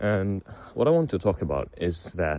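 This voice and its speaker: A man with a non-native accent speaks at a moderate pace in a very deep, low voice, his dark, mellow tone carried by lively intonation. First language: not English. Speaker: vlogger. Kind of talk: personal confessional monologue. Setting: outdoors, walking. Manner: halting, many fillers and repetitions.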